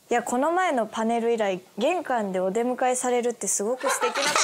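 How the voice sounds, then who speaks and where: A woman with a high pitch talks at a fairly quick pace amid noticeable background noise. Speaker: voice actress. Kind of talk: casual web show banter. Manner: upbeat, excitable. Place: studio. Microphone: lapel.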